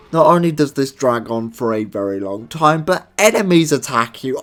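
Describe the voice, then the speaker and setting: A man with a British accent speaks at a fairly high pitch and a moderate pace. His intonation is lively. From Britain. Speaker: gaming video reviewer. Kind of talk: comedic banter; scripted review narration.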